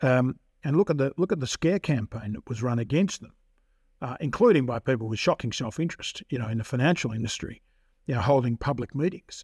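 Very fast and somewhat breathy, a man speaks at medium pitch with an Australian accent and lively intonation. The recording is very clean, dry and close with no echo, over a silent background. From Victoria, Australia. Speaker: criminal barrister. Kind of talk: interview. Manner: halting, with frequent fillers.

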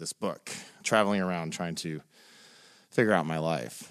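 A man speaks with an American accent and ordinary pitch variation. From US South, Nashville, Tennessee. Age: 40s. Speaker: poet and ghostwriter. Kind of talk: casual interview conversation.

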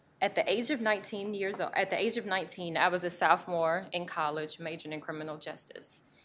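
A woman speaks at a fairly quick pace with hardly any pauses, in a plain, everyday voice. Her pitch is medium, with ordinary variation. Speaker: public defender. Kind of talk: testimony. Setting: stage with audience.

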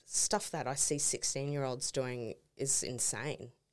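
A woman with an Australian accent speaks at a fairly slow pace in a very deep, low pitch. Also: very clean recording, silent background. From Townsville, north Queensland, Australia. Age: 30s. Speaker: sports team graphic designer. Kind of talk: casual chat. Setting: studio.

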